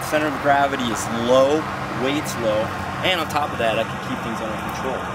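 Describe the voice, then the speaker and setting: The background noise is loud. Over it, a man talks at a fairly quick pace. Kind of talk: casual vlog demonstration. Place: forest. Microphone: camera far.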